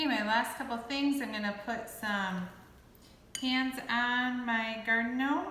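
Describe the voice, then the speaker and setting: Audible room echo follows a woman with a fairly high pitch. She talks at a fairly slow pace with fairly even intonation. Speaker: clay art instructor. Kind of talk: tutorial. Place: workshop. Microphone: camera far.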